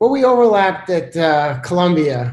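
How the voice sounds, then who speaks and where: This man talks with an American accent at a moderate pace. His voice is somewhat breathy. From New York City (Brooklyn). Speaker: seasonal forecaster, climate scientist. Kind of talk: interview, casual expert discussion. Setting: video call.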